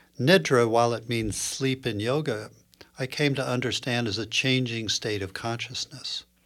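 A man talks in a normal speaking voice with an American accent, his pitch medium. He keeps a moderate pace with ordinary pitch variation. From US Northeast, Princeton, New Jersey. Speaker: clinical psychologist and yoga teacher. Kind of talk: podcast interview.

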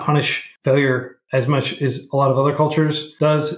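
An American-accented man speaks in a somewhat breathy voice. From Oklahoma and Texas, US. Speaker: nonprofit founder, coding educator. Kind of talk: casual interview.

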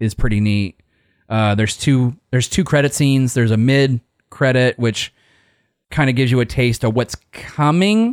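A man's ordinary speaking voice at medium pitch, moderate pace and ordinary pitch variation, very even in loudness, dry and close with no echo, on a very clean recording with a silent background. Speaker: podcast host. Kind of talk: casual chat.

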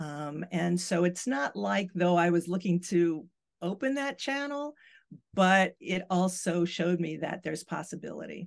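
A woman with an American accent speaks at a fairly slow pace in a fairly low pitch with lively intonation. It is an unremarkable speaking voice. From the Bronx, New York. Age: 60s. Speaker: tarot reader and channeler. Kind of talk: casual interview conversation.

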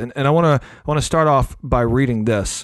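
A man's medium-pitched voice with a slight Southern US accent, at a moderate pace. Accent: slight Southern twang. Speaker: podcast host. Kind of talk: casual conversational podcast. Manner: animated, chatty.

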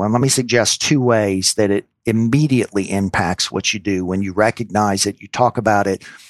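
An ordinary speaking voice, a man with an American accent talks at a moderate pace with ordinary pitch variation, the sound dry and close with no echo in a very clean recording with a silent background. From US South, New Orleans, Louisiana. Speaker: physician and healthcare executive. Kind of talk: interview.

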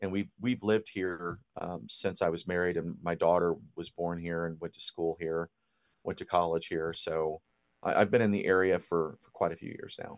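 With an American accent, a man talks at a moderate pace in a very deep, low pitch, his intonation fairly even and his loudness swinging widely against a quiet background. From Ohio, near Dayton. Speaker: record store owner. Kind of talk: interview.

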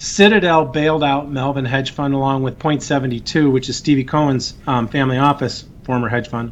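A man with an American accent talks in a normal speaking voice at a moderate pace. His pitch is fairly high, with fairly even intonation. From US Midwest, Chicago western suburbs. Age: 50s. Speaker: financial expert, former trader and angel investor. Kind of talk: interview.

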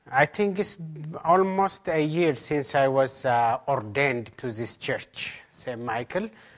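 Speaking with a strong Ethiopian accent, a man shows ordinary pitch variation. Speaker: pastor preaching a sermon. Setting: church service.

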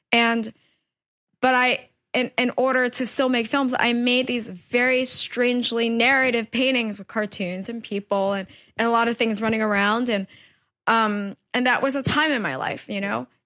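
The recording is very clean, with a silent background. The voice has a New York accent and a bright, sharp tone. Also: woman, fairly high pitch for a woman, fairly even intonation, moderate pace, dry, close sound with no echo. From New York, Queens. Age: 30s. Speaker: painter. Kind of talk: casual chat. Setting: artist's studio.

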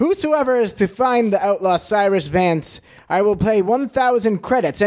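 The reading aloud is plain. Its pitch moves up and down in an ordinary way.

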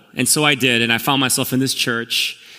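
A man at medium pitch with an American accent, a fairly quick pace, and music in the background. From Korea, then Queens, New York. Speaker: pastor. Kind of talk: sermon. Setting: church service with congregation.

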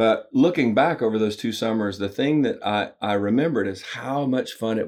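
A man talks with a Southern US accent at a medium pitch. The recording is very clean, with a silent background. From US South (Alabama). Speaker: business coach and author. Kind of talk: interview.

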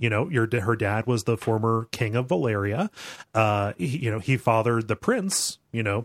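Fairly even intonation in a natural reading voice.

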